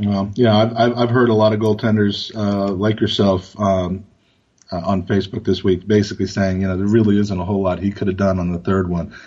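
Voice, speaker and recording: Speaking with an American accent, a man keeps a monotone, flat intonation. His pitch is fairly low and his pace fairly quick. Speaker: football podcast co-host. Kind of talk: casual chat.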